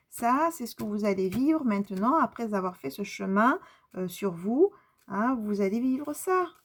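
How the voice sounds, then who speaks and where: The speaker moves at a fairly slow pace while the pitch swings very widely. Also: woman, fairly high pitch for a woman. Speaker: tarot card reader and medium. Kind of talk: spiritual card reading. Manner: halting.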